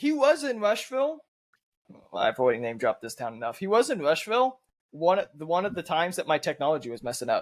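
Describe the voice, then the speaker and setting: Speaking very fast, this man has a high-pitched voice that swings very widely in pitch. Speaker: podcast co-host. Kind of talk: casual chat.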